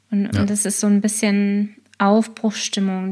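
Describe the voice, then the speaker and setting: A woman with a somewhat breathy, medium-pitched voice speaks at a fairly slow pace. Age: 30s. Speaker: scrum master and agile coach. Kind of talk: casual interview.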